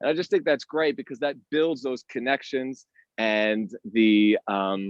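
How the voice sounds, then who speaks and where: Lively intonation marks this man's medium-pitched voice, heard with an American accent. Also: fairly slow pace. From US Northeast, Boston. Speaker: tour guide. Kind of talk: live virtual tour presentation.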